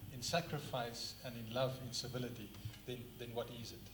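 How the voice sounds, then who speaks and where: Over noticeable background noise and audible room echo, a man speaks at a medium pitch. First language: not English (third language). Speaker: book reviewer, speaker. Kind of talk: public talk, book review. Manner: halting at times.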